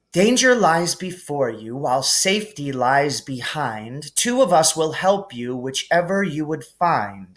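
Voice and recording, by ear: A man uses a put-on character voice, fairly high and fairly bright, with big pitch swings, a fairly slow pace and few pauses.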